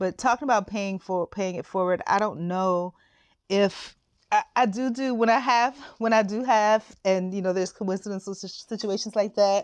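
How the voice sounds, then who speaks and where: Against a quiet background, a woman speaks at medium pitch and a moderate pace, with ordinary pitch variation, in a normal speaking voice. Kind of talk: casual talk to camera.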